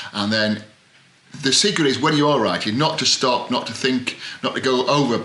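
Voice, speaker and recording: Noticeable background noise sits behind this male speaker. He uses a medium pitch, ordinary pitch variation and a moderate pace. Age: old. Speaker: author and writing coach. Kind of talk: tutorial. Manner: halting; rambling.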